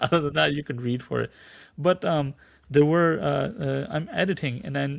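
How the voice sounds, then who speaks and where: Against a quiet background, a man talks at a fairly quick pace with lively intonation, a fairly high pitch, and a somewhat breathy quality. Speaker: translator and audiobook narrator. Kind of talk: podcast interview. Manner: halting, many repetitions.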